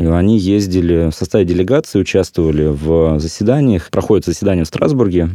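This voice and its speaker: This man has a very deep, low pitch with ordinary variation. The sound is dry and close, with no echo. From Russia, Kuzbass (Prokopyevsk). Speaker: civic activist, fathers' organization. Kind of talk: interview. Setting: studio.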